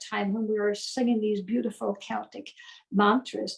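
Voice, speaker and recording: A woman talks at a moderate pace and a fairly high pitch. Her voice is somewhat breathy, with fairly even intonation. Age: 70s. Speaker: death doula and spiritual teacher. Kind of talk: interview conversation.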